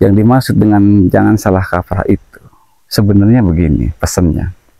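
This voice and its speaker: Fairly low and dark, mellow in tone, a man's voice moves at a fairly quick pace with very even loudness and ordinary pitch variation. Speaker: spiritual practitioner, medium. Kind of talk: paranormal investigation talk.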